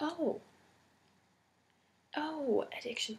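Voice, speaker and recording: Soft-spoken, a woman talks with ordinary pitch variation. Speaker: ASMR creator and homeless shelter worker. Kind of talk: roleplay interview, ASMR.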